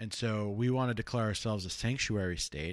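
A man with an American accent talks at a fairly quick pace in a medium pitch, with a plain, everyday voice. The background is quiet. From Los Angeles, California. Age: 30s. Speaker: political podcast host. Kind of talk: casual political discussion.

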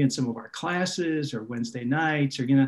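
He speaks with an American accent. The voice belongs to a man. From Minnesota. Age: 60s. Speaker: pastor. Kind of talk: casual interview.

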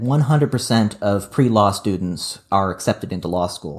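In a plain, everyday voice with an American accent, a man talks at a moderate pace with fairly low pitch and ordinary pitch variation, on a very clean recording with a silent background. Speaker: podcast co-host and editor. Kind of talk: casual chat.

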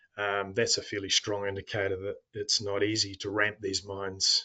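Against a quiet background, a man speaks with a New Zealand accent. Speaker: mining company executive. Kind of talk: interview.

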